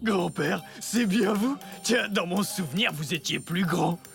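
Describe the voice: A man puts on a cartoonish character voice, pitched high and delivered at a fairly slow pace, with clear music playing in the background.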